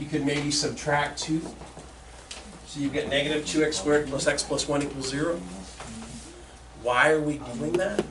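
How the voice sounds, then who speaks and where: A man with a fairly high voice talks in a fairly even tone, with audible room echo and noticeable background noise behind him. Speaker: high school math teacher. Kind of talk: classroom lecture. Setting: classroom with students.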